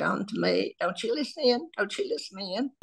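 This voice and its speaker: With a Southern US accent and vocal fry, the speaker talks at a moderate pace. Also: woman. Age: 80s+. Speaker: social media creator. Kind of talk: casual chat.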